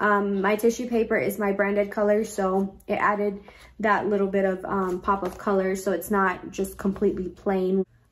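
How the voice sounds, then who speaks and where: A woman's medium-pitched voice at a moderate pace, monotone with flat intonation. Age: 20s. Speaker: YouTuber and small boutique owner. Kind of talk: casual tutorial vlog. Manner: casual with frequent filler words. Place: home room. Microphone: phone near.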